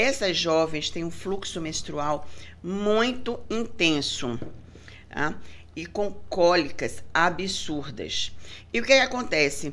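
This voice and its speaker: The voice moves at a very slow pace with long, frequent pauses and very wide pitch swings, and room echo is audible. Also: woman, fairly low pitch for a woman. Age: 50s. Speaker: gynecologist and breast specialist. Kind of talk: casual interview.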